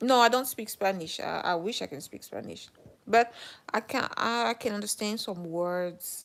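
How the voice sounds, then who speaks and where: A woman with a French accent speaks at a moderate pace in a fairly high pitch, with ordinary pitch variation and big swings in loudness. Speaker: live streamer. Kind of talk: casual live stream chat. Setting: live stream. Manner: halting, many fillers and restarts.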